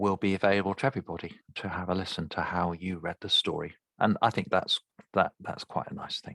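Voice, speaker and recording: A man with a London accent talks at a fairly low pitch with fairly even intonation. The recording is very clean, with a silent background. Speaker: speech therapist. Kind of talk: tutorial. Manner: halting.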